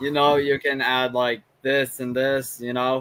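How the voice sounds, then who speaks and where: A man's medium-pitched voice, very slow, with an American accent. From United States. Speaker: amateur rapper, stream guest. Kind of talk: casual group discussion on live stream. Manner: halting, many fillers.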